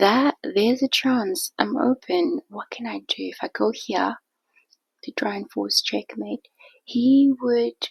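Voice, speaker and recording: A soft-spoken woman whispering at a very slow pace, dry and close with no echo. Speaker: chess streamer. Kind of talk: game commentary. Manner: whispered, soft; casual, chatty.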